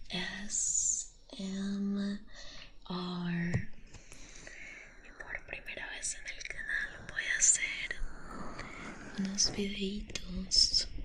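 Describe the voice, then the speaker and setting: A woman speaks very slowly with long, frequent pauses and big swings in loudness, over noticeable background noise. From Colombia. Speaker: ASMR creator. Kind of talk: ASMR intro talk to viewers. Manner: soft-spoken.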